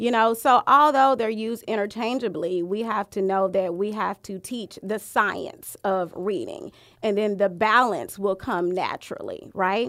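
Speaking with an American accent in a plain, everyday voice, a woman with a fairly high pitch and ordinary pitch variation goes at a fairly slow pace with hardly any pauses, on a very clean recording with a silent background. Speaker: curriculum director. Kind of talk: casual podcast interview. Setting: studio.

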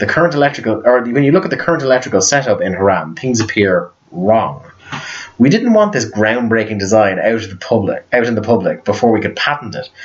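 Against noticeable background noise, a man talks very fast in a medium pitch with lively intonation. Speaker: podcast host. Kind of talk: casual chat. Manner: animated.

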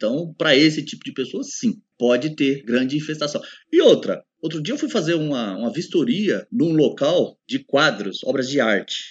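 A man with a fairly high pitch and vocal fry speaks at a moderate pace, his voice making very wide pitch swings. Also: hardly any pauses. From Brazil, São Paulo state interior. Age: 40s. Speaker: pest control specialist. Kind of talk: casual podcast interview.

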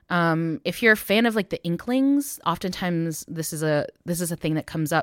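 Using an ordinary speaking voice, a woman with an American accent talks at a fairly quick pace, with a medium pitch and lively intonation. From United States, Taiwanese American family. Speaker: musician, filmmaker and theologian. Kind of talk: interview conversation.

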